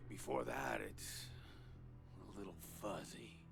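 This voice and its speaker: A man performs in a put-on character voice. Loud background noise runs behind him. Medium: video game. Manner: slow, rambling, filler-heavy laid-back drawl.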